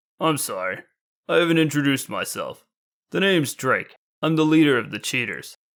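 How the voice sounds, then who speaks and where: A put-on character voice, raspy and gruff, with ordinary pitch variation. It moves at a fairly quick pace. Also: man, fairly high pitch for a man. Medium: read story.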